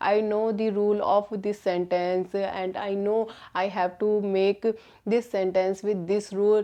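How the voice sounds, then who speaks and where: In an Indian accent, a woman speaks at a medium pitch and a fairly slow pace. Her intonation is monotone and flat. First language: Hindi. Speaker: English learner vlogger. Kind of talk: casual vlog talk. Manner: halting, many fillers.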